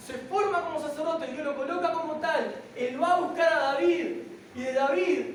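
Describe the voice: In a room with audible echo, a woman talks at a fairly quick pace and a high pitch, with ordinary pitch variation.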